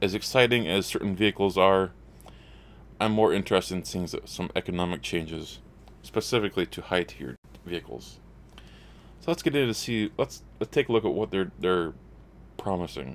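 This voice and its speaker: A man's very deep, low voice with vocal fry and lively intonation, a fairly quick pace, and long, frequent pauses. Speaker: gaming YouTuber. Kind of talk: gameplay news commentary. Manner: halting, repeats words.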